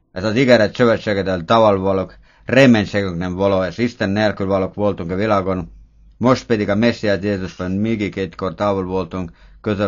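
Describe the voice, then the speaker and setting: This man talks at a fairly quick pace in a fairly low voice with a non-native accent and fairly even intonation. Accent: foreign accent in Hungarian. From Estonia. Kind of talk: prayer based on scripture reading.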